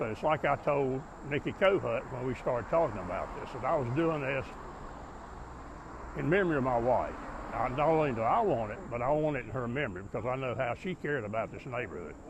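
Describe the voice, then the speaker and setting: At a fairly quick pace, a man with an American accent and medium pitch speaks with lively intonation over noticeable background noise. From US South. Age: 80s+. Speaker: retired city engineer, neighborhood activist. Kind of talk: interview.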